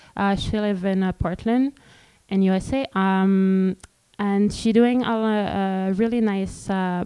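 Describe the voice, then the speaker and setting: Speaking very slowly, a woman with a Quebec French accent uses a medium pitch and fairly even intonation. The recording is very clean, with a silent background. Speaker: street artist and community organizer. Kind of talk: panel presentation. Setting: stage with audience. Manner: halting.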